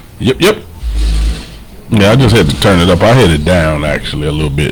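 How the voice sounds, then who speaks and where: A man with a very deep, low pitch talks at a fairly quick pace with lively intonation. Noticeable background noise can be heard. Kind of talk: casual chat.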